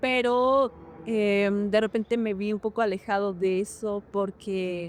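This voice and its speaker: This is a woman speaking in a fairly high pitch. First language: Hñähñu (Otomi) (speaking Spanish). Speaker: actress and dancer. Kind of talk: interview. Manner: hesitant, many fillers.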